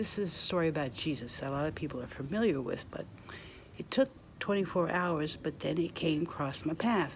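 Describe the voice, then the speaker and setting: At a fairly quick pace, a woman with a very deep, low pitch speaks with lively intonation. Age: 60s. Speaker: vlogger. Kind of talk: casual monologue.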